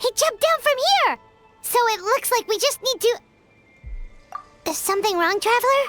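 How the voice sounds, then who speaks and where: This put-on character voice has an extremely high pitch and a moderate pace. Long, frequent pauses break it up, with faint music in the background. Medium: video game. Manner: cheeky, quick.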